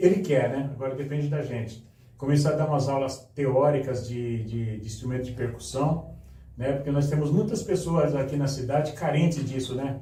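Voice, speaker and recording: At a moderate pace, the voice shows ordinary pitch variation against audible room echo. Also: man, fairly high pitch for a man. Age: 70s. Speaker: filmmaker and carnival artist. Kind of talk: podcast interview.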